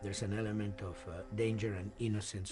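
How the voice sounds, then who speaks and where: Music plays behind a man speaking in a Spanish accent. His fairly low voice moves at a fairly quick pace, with audible room echo. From Argentina. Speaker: film and game composer. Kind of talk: documentary interview. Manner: halting, repeats words.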